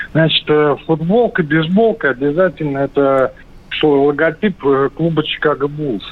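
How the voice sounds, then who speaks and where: Fairly slow speech with ordinary pitch variation and long, frequent pauses. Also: man, fairly high pitch for a man. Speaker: caller. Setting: phone call.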